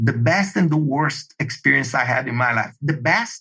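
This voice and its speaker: At a fairly slow pace, a man with a Brazilian Portuguese accent moves through very wide pitch swings. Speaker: project management expert. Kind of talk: podcast interview. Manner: animated.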